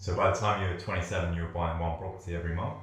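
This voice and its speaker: Noticeable background noise sits under a man speaking at a very fast pace in a very deep, low pitch. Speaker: interviewer and channel host. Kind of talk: interview question.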